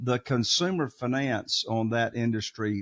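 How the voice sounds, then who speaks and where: Speaking with a Southern US accent, a man has a medium pitch and ordinary pitch variation. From US South. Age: 60s. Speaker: real estate investor. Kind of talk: podcast interview. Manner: animated.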